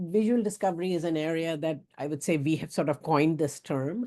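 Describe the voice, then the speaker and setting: A woman talks with lively intonation and a dark, mellow tone at a fairly low pitch. The background is quiet. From India, Bombay. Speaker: professor. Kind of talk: lecture. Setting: video call. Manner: fast.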